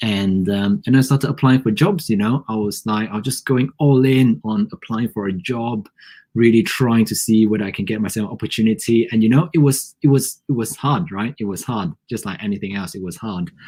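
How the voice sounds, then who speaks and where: A man with a non-native accent and a dark, mellow tone at a fairly quick pace. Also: medium pitch for a man, ordinary pitch variation. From Malaysia. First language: not English. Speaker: podcast co-host. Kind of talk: casual chat. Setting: live stream.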